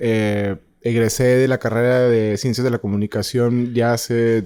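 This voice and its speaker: A man's dark, mellow tone at a medium pitch and a fairly slow pace. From northern Mexico, Ciudad Juárez. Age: 30s. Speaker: freelance filmmaker and journalist. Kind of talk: interview conversation. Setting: studio. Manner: halting, many fillers.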